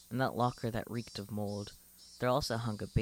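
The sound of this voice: Unforced reading voice, intonation fairly even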